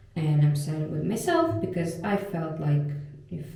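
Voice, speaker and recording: Audible room echo surrounds a woman speaking at a very deep, low pitch. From Russia. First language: Russian. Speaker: vlogger and doctor. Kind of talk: casual vlog talk to camera.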